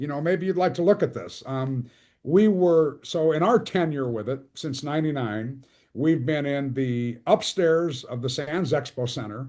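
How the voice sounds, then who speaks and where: A plain, everyday voice, a man's at a fairly high pitch, with ordinary pitch variation, a moderate pace and a quiet background. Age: 60s. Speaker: archery tournament organizer. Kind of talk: casual chat.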